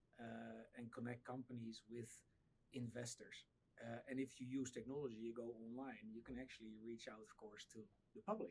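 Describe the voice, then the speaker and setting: A man speaks at medium pitch with a Dutch accent. His pace is moderate and his intonation is monotone and flat. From Netherlands. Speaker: startup founder. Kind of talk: podcast interview. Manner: halting, many repeated words.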